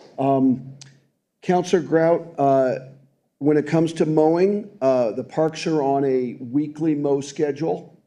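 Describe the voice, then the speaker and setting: With audible room echo, a man speaks fairly slowly in a dark, mellow tone, his fairly high pitch showing ordinary variation. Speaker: city department official. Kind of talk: council meeting testimony.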